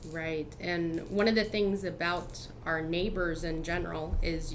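Speaking at a fairly slow pace with an American accent, a woman with a fairly low pitch is heard over noticeable background noise and audible room echo. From US Midwest (Cincinnati area, Ohio). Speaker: community volunteer. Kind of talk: casual interview.

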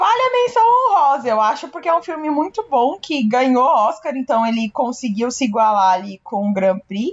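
Speaking at a moderate pace with hardly any pauses, a woman uses a high pitch that moves in very wide swings. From Brazil. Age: 20s. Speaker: podcast co-host. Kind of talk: casual chat.

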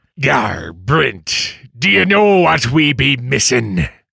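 Putting on a character voice, a man speaks at a very slow pace in a medium pitch with very wide pitch swings. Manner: hammy, playful.

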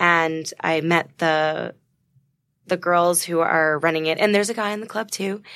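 Against a silent background in a very clean recording, a woman with a bright, sharp tone and fairly low pitch talks at a fairly slow pace with fairly even intonation. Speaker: charity founder. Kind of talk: interview.

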